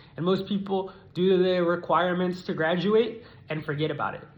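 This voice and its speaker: Speaking at a moderate pace with fairly even intonation, a man with a high-pitched voice is heard against audible room echo. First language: not English (learned English as a child in America). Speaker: student. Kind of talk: persuasive speech. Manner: formal.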